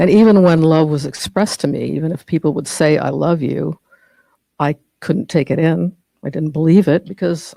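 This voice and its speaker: A woman talks at a moderate pace with a very deep, low pitch, ordinary pitch variation, vocal fry and a dark, mellow tone. The sound is dry and close with no echo. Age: 60s. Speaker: speaker at a spiritual study group. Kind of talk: personal testimony talk. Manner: halting, with fillers.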